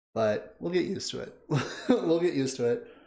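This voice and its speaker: An animated man speaks at a moderate pace, with audible room echo around his voice. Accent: Canadian. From Canada. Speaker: music video reactor, streamer. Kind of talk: casual livestream chat.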